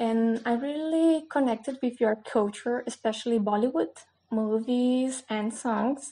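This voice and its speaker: Her high pitch carries a dark, mellow tone as the woman speaks at a fairly slow pace with fairly even intonation. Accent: Brazilian. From Brazil. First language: Portuguese. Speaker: new channel host. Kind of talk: casual talk to camera. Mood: warm, friendly. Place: home room. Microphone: webcam.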